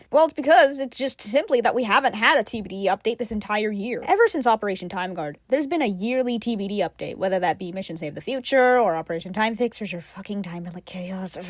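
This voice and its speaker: A woman with a fairly high pitch talks at a very fast pace with hardly any pauses and lively intonation. Her loudness swings widely, and background noise is noticeable. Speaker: gaming youtuber. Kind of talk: voiceover commentary. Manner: casual.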